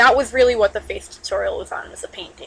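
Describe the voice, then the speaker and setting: A loud woman's voice. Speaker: digital artist. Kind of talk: drawing tutorial talk.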